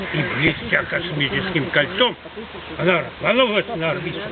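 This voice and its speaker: The speaker talks at a fairly slow pace with lively intonation. Noticeable background noise is present. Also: man. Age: 80s+. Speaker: folk poet. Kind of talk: poetry reading.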